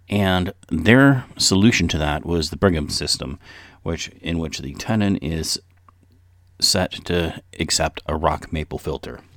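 Very deep, low male voice with vocal fry, lively intonation and a fairly slow pace. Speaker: pipe smoking podcast host. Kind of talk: casual solo podcast talk. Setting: home recording close to mic.

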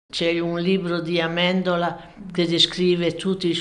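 A woman with a fairly low pitch speaks, and audible room echo can be heard. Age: 90s. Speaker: former partisan, witness. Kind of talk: interview. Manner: halting.

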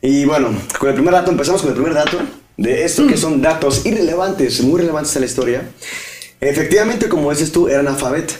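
The man speaks very fast at a fairly high pitch with ordinary variation. Noticeable background noise and audible room echo surround him. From Mexico, Guadalajara (Jalisco). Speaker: podcast co-host. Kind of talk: casual comedic chat.

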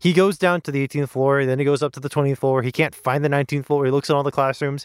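Recorded very cleanly with a silent background and a dry, close sound with no echo, a man speaks at a fairly high pitch in an unremarkable speaking voice. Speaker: podcast host. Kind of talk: casual chat.

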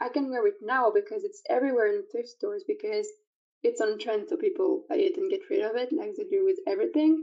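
Speaking very fast, a woman with a French accent uses an extremely high pitch. Her pitch swings very widely. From France. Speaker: online community organizer. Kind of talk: interview. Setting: remote call.

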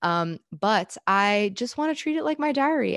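In a dry, close sound with no echo, a woman with an American accent speaks at a medium pitch. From Southern California. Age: 20s. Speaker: podcast host. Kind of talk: casual solo monologue. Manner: chatty, rambling with fillers.

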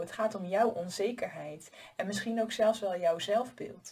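Speaking at a fairly slow pace, a woman has a medium pitch and ordinary pitch variation. Her voice is somewhat breathy. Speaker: life coach and podcast host. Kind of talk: solo advice monologue. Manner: casual, conversational with filler words.

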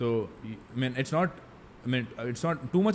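This man speaks with an Indian accent. His pitch rises and falls in an ordinary way. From Mangalore, coastal Karnataka, India. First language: Tulu. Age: 20s. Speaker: finance content creator. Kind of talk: casual interview.

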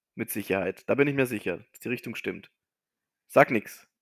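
The man's tone is bright and sharp, with a medium pitch. He talks at a moderate pace and his intonation is lively. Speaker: podcast co-host. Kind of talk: casual chat.

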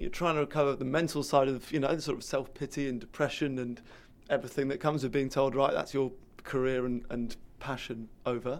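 A man with a British accent, very fast pace, fairly high pitch and fairly even intonation, in a very clean recording over a silent background. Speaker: podcast host. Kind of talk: interview conversation.

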